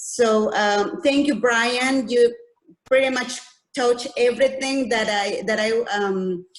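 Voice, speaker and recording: A woman speaks very slowly in a high voice with a non-native accent. Her pitch varies in an ordinary way. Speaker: audience member. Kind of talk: Q&A comment in webinar. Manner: halting, many repetitions.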